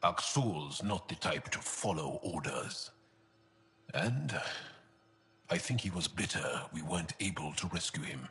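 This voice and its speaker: A man's put-on character voice, very deep and low in pitch, at a moderate pace with long, frequent pauses. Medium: video game. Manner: relaxed, candid.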